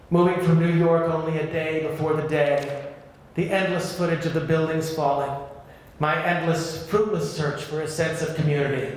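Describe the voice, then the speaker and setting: Over noticeable background noise, a man talks at a moderate pace with a fairly high pitch and monotone, flat intonation. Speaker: singer and actor. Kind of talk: audiobook memoir reading.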